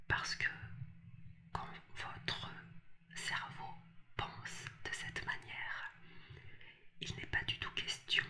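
The speaker is a woman. She whispers throughout. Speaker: relationship coach. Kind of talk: advice talk to camera. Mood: empathetic, earnest.

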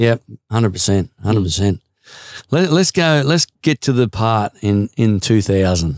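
The voice moves through very wide pitch swings. The background is quiet and the sound is dry with no echo. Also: man, fairly low pitch for a man, moderate pace. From Australia. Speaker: podcast host and interviewer. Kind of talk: casual interview hosting. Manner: friendly, enthusiastic. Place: studio. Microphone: studio mic.

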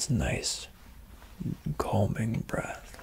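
A man's whisper. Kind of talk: soft role-play talk, guided relaxation. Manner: soft-spoken, slow soothing guidance. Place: home room.

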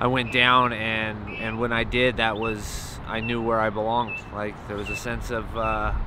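Speaking at a fairly slow pace in a flat monotone, this voice is recorded dry with no echo over noticeable background noise. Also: man. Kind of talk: interview answer. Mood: earnest personal story. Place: street. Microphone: phone near.

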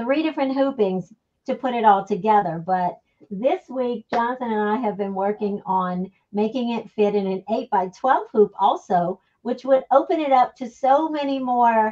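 Against a quiet background, a woman talks with lively intonation and a dark, mellow tone. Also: moderate pace. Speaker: guest. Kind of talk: interview answer. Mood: cheerful, enthusiastic.

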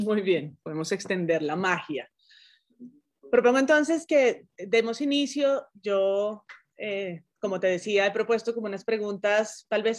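Against a quiet background, a woman talks very slowly at a medium pitch. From Colombia. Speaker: journalism professor. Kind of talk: interview conversation. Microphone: video call.

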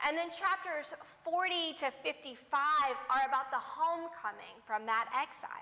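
A woman speaks at a fairly slow pace in a raised, projected voice, her tone bright and sharp, with ordinary pitch variation. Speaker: preacher. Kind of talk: sermon. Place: church.

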